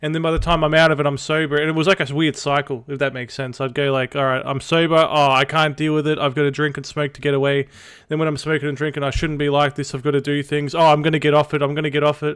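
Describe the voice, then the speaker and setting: Speaking with an Australian accent, a man talks at a very fast pace with hardly any pauses, his fairly high pitch held in a monotone, flat intonation. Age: 20s. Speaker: streamer. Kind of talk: casual chat. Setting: live stream.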